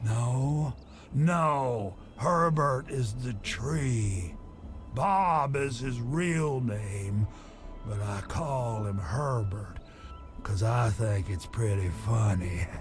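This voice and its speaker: Music plays clearly in the background. A man uses a put-on character voice at a medium pitch and a very slow pace. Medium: video game. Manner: rambling, wry.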